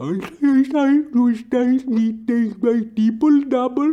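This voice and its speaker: A put-on character voice, mumbling at a fairly slow pace with fairly high pitch. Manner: mumbling, muttering on and on.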